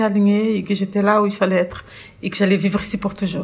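Here is a woman with a Portuguese accent. Her voice sits at a medium pitch. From Brazil. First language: Portuguese (speaking French). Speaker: chef. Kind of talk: personal testimony.

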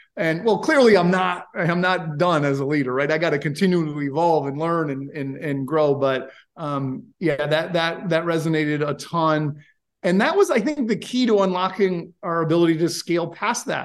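This man has an American accent and a high pitch. He talks at a moderate pace with ordinary pitch variation. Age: 40s. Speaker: software company founder. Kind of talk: interview. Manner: animated.

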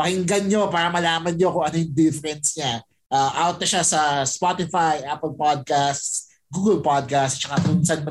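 Music is playing behind the speaker. He is a man whose pitch sits fairly high. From Philippines, Pampanga. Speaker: podcaster. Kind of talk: casual chat.

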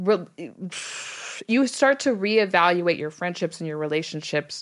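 Against a quiet background, a woman talks in an unremarkable speaking voice. Her pitch is fairly low and her intonation is lively. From Texas. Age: 40s. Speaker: podcast host. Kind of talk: casual chat.

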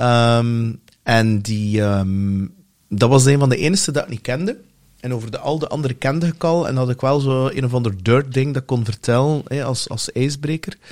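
Heard in a very clean recording with a silent background, a man with an unremarkable speaking voice speaks at medium pitch and a moderate pace, with ordinary pitch variation. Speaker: podcast host. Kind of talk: casual chat.

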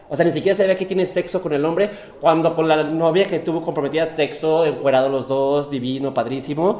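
With noticeable background noise behind him, a man talks at a fairly quick pace, his fairly high pitch held in fairly even intonation. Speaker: podcast co-host. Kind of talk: casual chat. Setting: apartment with echo. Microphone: room echo.

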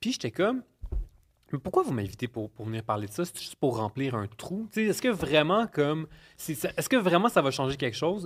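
With a Quebec accent, a man speaks fairly quickly at a fairly high pitch, his voice making very wide pitch swings and big swings in loudness, in a very clean, dry, close recording with no echo and a silent background. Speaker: nutritionist and podcaster. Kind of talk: casual chat.

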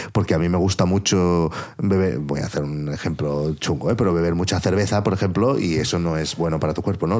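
A man talks at a fairly quick pace. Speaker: podcaster and producer. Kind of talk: casual chat.

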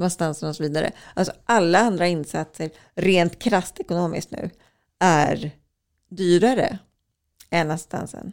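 Pausing long and often, a woman speaks at a fairly slow pace and a fairly low pitch, with fairly even intonation. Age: 40s. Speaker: journalist and author. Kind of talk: interview conversation.

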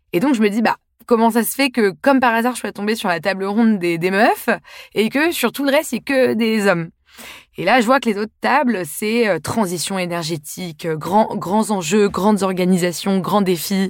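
An unremarkable speaking voice from a woman, pitched in the middle range, delivered at a moderate tempo. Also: lively intonation. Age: 20s. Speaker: podcast host and author. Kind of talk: scripted monologue.

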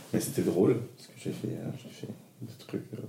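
At a fairly slow pace, a man speaks amid audible room echo and noticeable background noise. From northern France, Lille. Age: 30s. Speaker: drag queen. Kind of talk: casual interview.

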